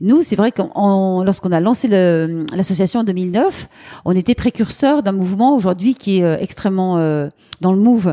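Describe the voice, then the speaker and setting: Her loudness very even, a woman speaks at a fairly slow pace with ordinary pitch variation and a dark, mellow tone. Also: medium pitch for a woman. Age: 50s. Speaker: charity founder. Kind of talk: interview. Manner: lively.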